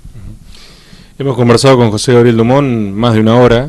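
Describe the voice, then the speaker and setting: Keeping a fairly even intonation, a man speaks at a very fast pace. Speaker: TV and radio interviewer. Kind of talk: interview.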